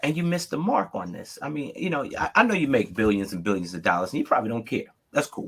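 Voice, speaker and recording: A man with an American accent at a fairly high pitch and a very fast pace, with very wide pitch swings and vocal fry. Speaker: Lego builder, reality competition contestant. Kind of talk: casual chat. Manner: animated, emphatic.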